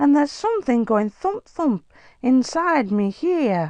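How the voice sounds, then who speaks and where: In a put-on character voice, a female-sounding speaker goes high in pitch with very wide pitch swings at a fairly slow pace. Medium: read story. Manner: earnest, excitable.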